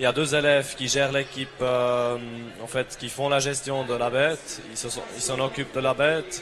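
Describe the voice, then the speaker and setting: In a Swiss German accent, a man of medium pitch speaks at a moderate pace with monotone, flat intonation against noticeable background noise. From Switzerland, Bern. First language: German (speaking French). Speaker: agricultural student, team captain. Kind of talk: interview. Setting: trade fair TV set. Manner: hesitant.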